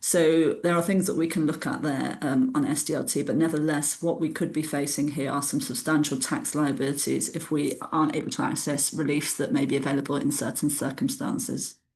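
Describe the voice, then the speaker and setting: Speaking with a British accent, a woman uses a very deep, low pitch, lively intonation and a fairly quick pace with hardly any pauses. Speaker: tax adviser presenting a webinar. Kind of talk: webinar lecture. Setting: online webinar. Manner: fast.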